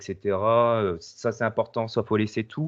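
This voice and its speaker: Fairly even intonation runs through a man's fairly low-pitched voice. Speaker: paranormal investigator and video editor. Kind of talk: casual chat. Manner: hesitant, many fillers.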